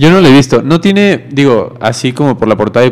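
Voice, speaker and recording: With lively intonation, a man talks fairly quickly as noticeable background noise continues. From Mexico. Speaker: student radio co-host. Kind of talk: casual chat.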